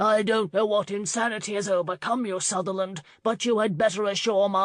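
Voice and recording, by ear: In a natural voice, a passage is read aloud with intonation that stays fairly even.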